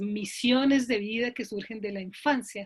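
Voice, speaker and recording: This woman's voice sits at a fairly high pitch, somewhat breathy, with fairly even intonation. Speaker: logotherapist, psychologist. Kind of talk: online talk. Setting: video call. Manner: deliberately slow.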